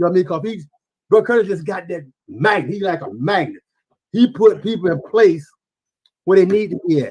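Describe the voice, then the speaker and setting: A man with an American accent speaks at a fairly quick pace in a high pitch with lively intonation, big swings in loudness, and long, frequent pauses. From US South. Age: 70s. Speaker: community member recalling past. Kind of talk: podcast interview, reminiscing. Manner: animated.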